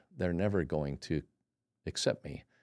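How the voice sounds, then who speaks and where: Speaking at a fairly quick pace with an American accent, a man uses a very deep, low voice with ordinary pitch variation. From California, El Cajon. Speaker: pilot and navy veteran. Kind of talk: interview chat.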